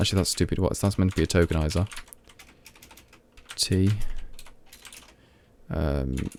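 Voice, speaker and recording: A man with a Midlands accent, his pitch very deep and low, with long, frequent pauses. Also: ordinary pitch variation, moderate pace, very even loudness. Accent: Midlands, mild. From English Midlands, Leicester. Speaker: programmer streamer. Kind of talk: live coding stream. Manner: halting, many fillers; speaking clearly.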